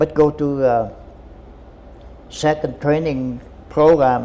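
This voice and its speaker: The man speaks with a Vietnamese accent. His intonation is fairly even. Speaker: war veteran. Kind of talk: interview answer.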